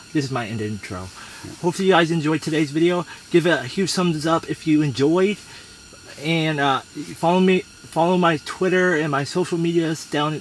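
At a moderate pace, a man talks with ordinary pitch variation in a dry sound with no echo, over light background noise. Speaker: fishing vlogger. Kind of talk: casual vlog chat. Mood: upbeat, laughing. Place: tent. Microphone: camera far.

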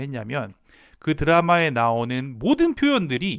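The background is quiet. Over it, a man speaks with very wide pitch swings. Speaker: language teacher channel host. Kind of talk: educational talk to camera. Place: home room. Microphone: lapel.

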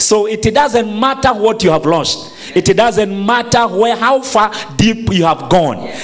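A man speaks at a fairly slow pace in a high voice, with ordinary pitch variation. Light background noise is present. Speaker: preacher. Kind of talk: sermon. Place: church. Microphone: handheld.

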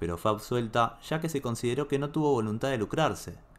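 The tone is dramatic as a man speaks at a medium pitch. His pace is fairly quick. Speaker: video narrator. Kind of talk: true-crime style storytelling narration, grave and suspenseful. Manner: measured, dramatic, steady storyteller pace.

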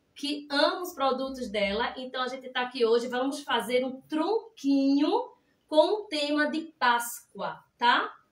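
A woman's high pitch at a fairly slow pace, with audible room echo. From Pernambuco, Brazil. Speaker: cake decorator. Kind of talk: live cake decorating class. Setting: livestream. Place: kitchen. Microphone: phone near.

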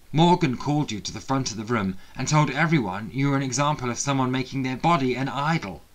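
This is a natural reading voice. It carries ordinary pitch variation.

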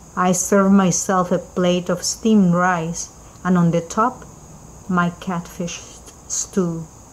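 A woman with a fairly low pitch speaks at a very slow pace in a monotone, flat intonation, leaving long, frequent pauses. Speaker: poet. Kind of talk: spoken-word poetry reading, first-person scene narration. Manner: measured, vivid storytelling with rising anguished intensity; rhythmic repetition, grave and mournful close.

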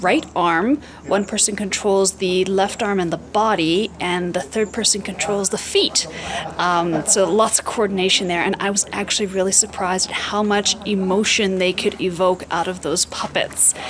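This is a woman speaking. Noticeable background noise can be heard. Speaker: travel vlogger. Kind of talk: casual vlog chat. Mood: cheerful, enthusiastic. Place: street. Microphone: phone near.

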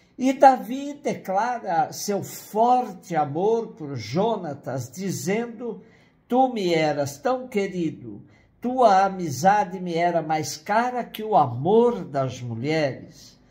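A man with a dark, mellow tone speaks at a very slow pace with very wide pitch swings. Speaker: priest giving a Bible reflection. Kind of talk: sermon. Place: home room. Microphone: webcam.

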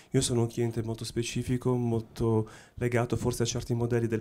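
A dark, mellow tone marks the man's voice. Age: middle-aged. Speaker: watch brand technology executive; panelist. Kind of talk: panel discussion. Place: hall. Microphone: handheld.

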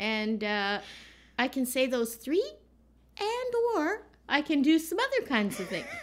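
A high-pitched woman talks at a fairly slow pace with long, frequent pauses and very wide pitch swings. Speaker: vlogger. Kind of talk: casual vlog banter, playful rant about film festival rules. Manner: animated; laughing, teasing. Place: home room.

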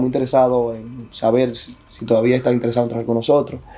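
The man's speech rushes along at a very fast speed. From Dominican Republic. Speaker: tech company employee; interview guest. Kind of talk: interview. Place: studio. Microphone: lapel.

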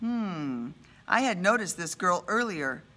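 The speaker reads aloud plainly. It is simple reading.

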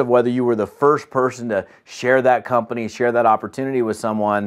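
Speech moves at a moderate pace. Nothing much is heard behind it, the background quiet. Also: man. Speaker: business trainer. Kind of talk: training talk to camera. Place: home room.

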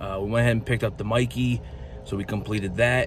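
A man talks at a very fast pace over light background noise, and the sound is dry, with no echo. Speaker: toy collector vlogger. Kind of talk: casual vlog chat. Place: car. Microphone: phone near.

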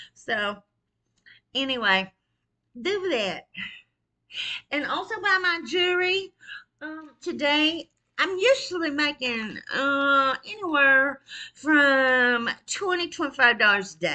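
The voice is raised and projected, with a bright, sharp tone and very wide pitch swings. It moves at a very slow pace with long, frequent pauses over a quiet background. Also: woman, high pitch for a woman. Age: 50s. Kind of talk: casual livestream monologue. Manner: animated, frequent laughter. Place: kitchen. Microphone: webcam.

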